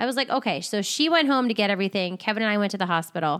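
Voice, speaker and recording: Talking at a very fast pace, a woman with a South Jersey accent uses lively intonation. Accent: Philadelphia-area South Jersey. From South Jersey, near Philadelphia. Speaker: podcast co-host. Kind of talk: casual chat.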